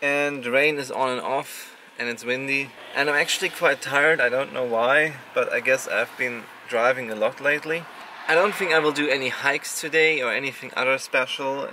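A man's voice at a moderate pace, dry with no echo, ordinary pitch variation, and light background noise. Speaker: travel vlogger. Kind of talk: casual vlog chat. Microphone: phone near.

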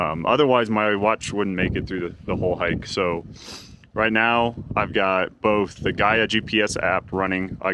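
A man with a fairly low pitch speaks at a moderate pace with fairly even intonation, in a dry sound with no echo and noticeable background noise. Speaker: hiker vlogger. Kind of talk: casual vlog chat. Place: open country. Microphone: phone near.

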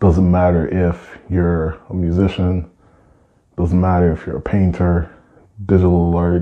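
Very deep, low male voice, a man speaking at a fairly slow pace in monotone, flat intonation over a quiet background. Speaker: artist vlogger. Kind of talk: casual vlog storytelling. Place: studio.

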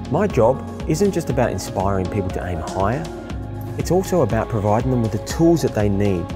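Over music in the background, a man talks at a fairly quick pace with very wide pitch swings. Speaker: keynote speaker. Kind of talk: personal narration for a speaker promo.

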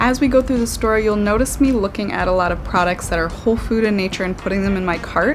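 A woman talks at a very fast pace with ordinary pitch variation while music plays in the background. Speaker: health coach. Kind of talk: casual vlog chat. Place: home room.

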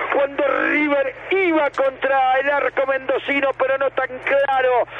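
Over noticeable background noise, a man speaks at a fairly slow pace in an extremely high voice. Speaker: football match radio commentator. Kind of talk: live radio sports commentary. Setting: radio broadcast.

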